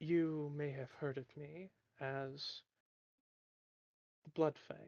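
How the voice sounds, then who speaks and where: A put-on character voice sits at a low-to-middle pitch. It moves at a very slow pace. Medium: actual play. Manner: smiling, boastful.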